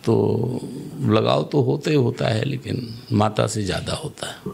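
This man speaks at a fairly low pitch with vocal fry. His pitch swings very widely. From Lucknow, Uttar Pradesh, India; Uttar Pradesh. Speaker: local politician. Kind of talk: interview. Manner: assertive. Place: studio. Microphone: studio mic.

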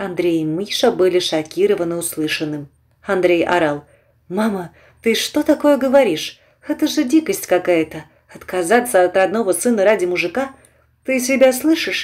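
Very wide pitch swings at a moderate pace, broken by long, frequent pauses. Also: woman, medium pitch for a woman. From eastern Ukraine, Donetsk region. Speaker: audiobook narrator. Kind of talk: reading aloud fiction.

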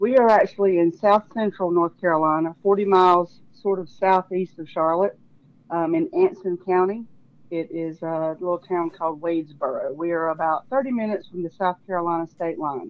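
At a moderate pace, a woman with a normal speaking voice talks in a fairly low pitch with ordinary pitch variation. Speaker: podcast guest. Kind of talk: interview answer. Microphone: phone line.

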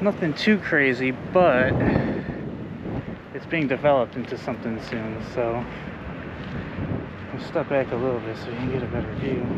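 Amid loud background noise, a man speaks with long, frequent pauses and ordinary pitch variation, the sound dry with no echo. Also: moderate pace. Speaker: urban explorer vlogger. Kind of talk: casual vlog chat. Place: street. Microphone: phone near.

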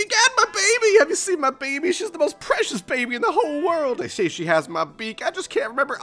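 At a very fast pace, a man does a put-on character voice pitched extremely high.

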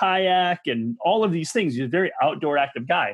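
A high-pitched man with an Upper Midwest accent, lively intonation and a moderate pace, over a quiet background. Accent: Upper Midwest American. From Michigan. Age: 40s. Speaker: massage therapist and movement coach. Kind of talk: podcast interview. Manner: intense, extroverted; animated. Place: home room. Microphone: video call.

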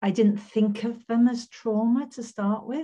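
Somewhat breathy and with a dark, mellow tone, a woman speaks at a fairly slow pace. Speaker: guest. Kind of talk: interview answer. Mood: thoughtful, earnest. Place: home room. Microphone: video call.

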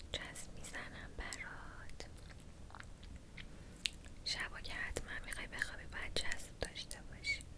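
A woman whispers in a gentle tone. Her pace is fairly slow. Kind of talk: ASMR roleplay talk to viewer. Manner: gentle, soft-spoken ASMR voice. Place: home room.

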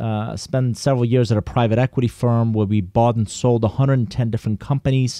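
A man with a Persian accent speaks at a fairly quick pace in a medium-pitched voice with a dark, mellow tone. The intonation stays fairly even, and the sound is dry and close with no echo. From Iran. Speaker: business consultant and author. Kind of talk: interview.

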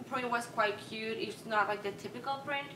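A woman speaks with a Peruvian accent. There is audible room echo and light background noise. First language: Spanish. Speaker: vintage fashion vlogger. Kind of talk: casual talk to camera. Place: home room.

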